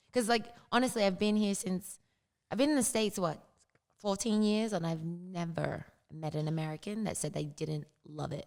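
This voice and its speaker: With an Australian accent, a woman speaks at medium pitch and a fairly quick pace, her intonation lively. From Australia, Sydney. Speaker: fitness coach. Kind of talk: interview conversation.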